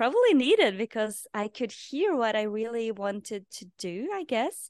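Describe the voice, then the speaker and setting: A woman with a Norwegian accent speaks at a fairly slow pace. The sound is dry and close with no echo, over a quiet background. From Norway. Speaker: podcast host and life purpose coach. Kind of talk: interview. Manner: halting.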